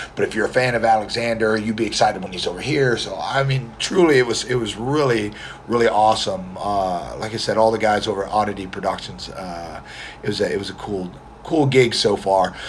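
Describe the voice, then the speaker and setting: Delivered at a fairly quick pace with ordinary pitch variation, this voice comes through over noticeable background noise. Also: man, fairly low pitch for a man. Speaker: competitive mustache grower. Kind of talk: casual livestream talk to camera. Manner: quiet.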